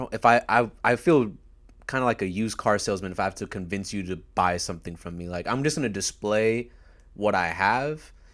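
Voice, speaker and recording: This very clean recording, with a silent background, features a man speaking at a moderate pace. His pitch is fairly low. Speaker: podcast host. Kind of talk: casual chat. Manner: loud.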